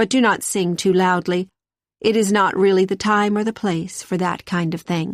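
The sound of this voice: Against silence, someone reads in an unforced voice with fairly level intonation.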